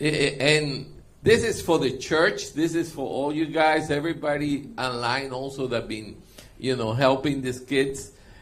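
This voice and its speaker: This is a man with a plain, everyday voice and a fairly high pitch. He speaks at a fairly slow pace with ordinary pitch variation. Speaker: interpreter.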